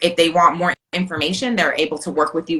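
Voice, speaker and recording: Amid noticeable background noise, a woman talks at a very fast pace, her fairly low pitch showing ordinary variation. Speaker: virtual assistant coach. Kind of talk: casual chat. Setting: Instagram live video.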